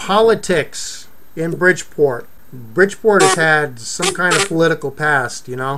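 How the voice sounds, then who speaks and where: A man with an American accent speaks at a fairly slow pace, fairly high in pitch and with lively intonation, against noticeable background noise. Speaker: talk show host. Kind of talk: casual chat. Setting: video call. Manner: loud, yelling.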